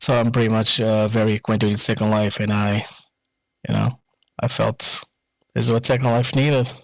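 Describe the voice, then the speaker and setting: A man with a Portuguese accent talks at a fairly quick pace in a medium pitch, his intonation monotone and flat, his loudness very even, with long, frequent pauses. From Portugal. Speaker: musician and software creator. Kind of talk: podcast interview.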